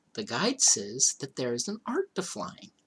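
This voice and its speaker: A man's put-on character voice, breathy and high, at a moderate pace. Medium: read story. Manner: airy, offhand.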